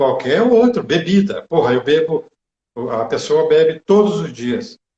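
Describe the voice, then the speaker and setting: Fairly high male speech, fairly slow in pace and marked by very wide pitch swings. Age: 60s. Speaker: meditation teacher. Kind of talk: live stream chat. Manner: hesitant.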